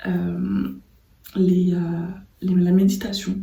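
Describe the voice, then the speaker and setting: A soft-spoken woman at medium pitch, somewhat breathy, with a calm tone and a dark, mellow sound. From Martinique. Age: 30s. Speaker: designer. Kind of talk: casual talk to camera. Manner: soft-spoken, calm.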